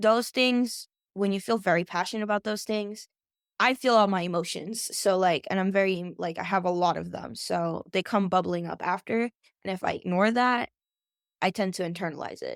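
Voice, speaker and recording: A medium-pitched woman's voice with ordinary pitch variation and a dry, close sound with no echo. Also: very clean recording, silent background. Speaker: foster care youth advocate. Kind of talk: interview conversation. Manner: fast.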